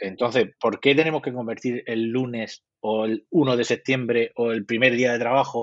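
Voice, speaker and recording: A man's plain, everyday voice at a medium pitch and fairly slow pace, with ordinary pitch variation. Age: 50s. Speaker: psychologist. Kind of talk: interview.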